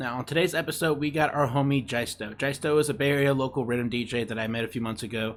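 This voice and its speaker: A man with a normal speaking voice, medium in pitch, at a fairly quick pace, with ordinary pitch variation. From Mexico, moved to US young. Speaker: podcast host. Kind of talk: casual interview chat.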